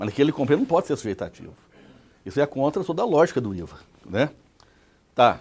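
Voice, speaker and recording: A man with a fairly high pitch talks very fast, his intonation lively. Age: 60s. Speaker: tax expert lecturer. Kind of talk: lecture. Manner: conversational, rhetorical questions.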